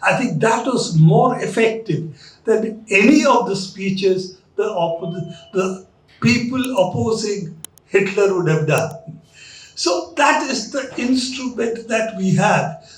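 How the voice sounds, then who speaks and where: Over noticeable background noise, a man speaks at a very slow pace. His voice is high in pitch, with lively intonation. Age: 70s. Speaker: journalist and lecture speaker. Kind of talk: lecture.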